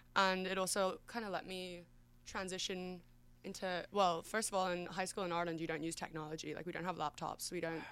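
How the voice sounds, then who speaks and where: With an Australian accent, a medium-pitched woman speaks fairly quickly and with fairly even intonation. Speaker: college swimmer. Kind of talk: casual chat.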